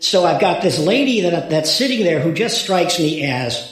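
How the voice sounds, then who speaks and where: A man's high voice with very wide pitch swings at a moderate pace, plus audible room echo. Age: 70s. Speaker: retired lawyer. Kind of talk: interview testimony. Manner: halting, with repetitions.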